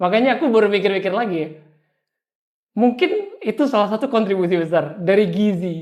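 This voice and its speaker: Talking at a fairly quick pace with long, frequent pauses, a man uses a high pitch with ordinary variation. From Indonesia, Surabaya then Papua. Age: 20s. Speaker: young entrepreneur. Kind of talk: interview.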